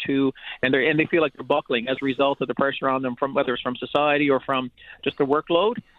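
A man talks with a Newfoundland accent. His pitch is fairly high. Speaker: teachers' union president. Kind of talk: radio interview. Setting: phone call.

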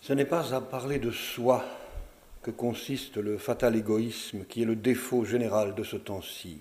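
A plain, everyday voice moves at a fairly slow pace, its pitch varying in an ordinary way. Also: man, medium pitch for a man. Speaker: actor reading texts aloud. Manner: formal, measured, with ironic, wistful lightness.

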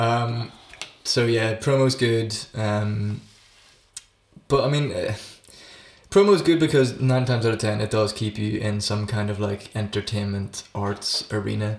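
Pausing long and often, a man with a Northern Irish accent speaks at a fairly slow pace in a fairly low voice with fairly even intonation. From Northern Ireland. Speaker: actor and musician. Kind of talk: casual chat.

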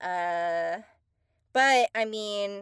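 A woman with an American accent and fairly high pitch is heard in a very clean recording with a silent background and a dry, close sound with no echo. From Texas. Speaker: voice actor. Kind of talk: casual chat.

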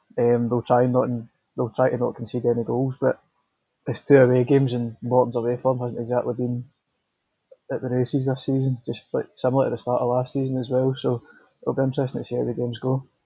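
A man speaks at a very fast pace and medium pitch. His voice is somewhat breathy, his intonation monotone and flat. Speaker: football journalist. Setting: interview.

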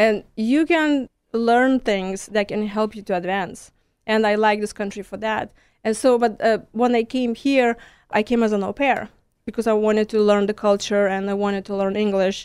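A woman with a Lithuanian accent, fairly high in pitch, fairly even in intonation, at a moderate pace on a very clean recording with a silent background. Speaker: stress management coach. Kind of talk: radio interview.

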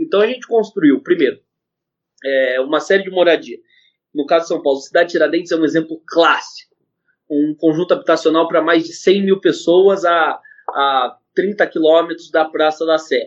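A man talks at a moderate pace. His pitch is high, with ordinary pitch variation. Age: 20s. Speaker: economist. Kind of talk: interview.

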